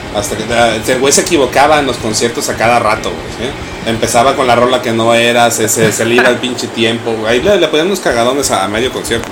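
Amid noticeable background noise and audible room echo, a man at medium pitch talks at a fairly quick pace with hardly any pauses and ordinary pitch variation. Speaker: radio host. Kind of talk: casual chat. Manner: halting.

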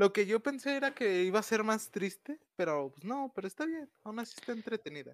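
Talking at a fairly quick pace with hardly any pauses, a man with a Mexican accent uses a high pitch and lively intonation in a dry, close sound with no echo. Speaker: podcast co-host. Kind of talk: casual chat.

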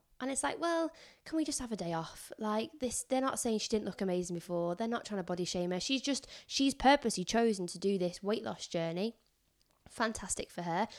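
In a northern English accent, a woman talks at a fairly quick pace with fairly high pitch and very wide pitch swings, on a very clean recording with a silent background. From northern England. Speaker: teaching assistant. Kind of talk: casual chat. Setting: in person at home.

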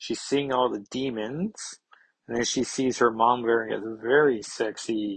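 Quiet background, reading aloud in a natural voice

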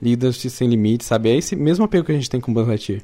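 A man speaks in a dark, mellow tone. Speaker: podcast co-host. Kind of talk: casual chat.

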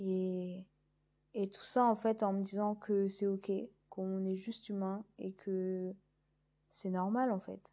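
A woman's dark, mellow voice at medium pitch, flat and monotone, very slow, with long, frequent pauses. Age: 20s. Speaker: podcast host, naturopathy trainee. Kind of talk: casual monologue. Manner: hesitant, many fillers.

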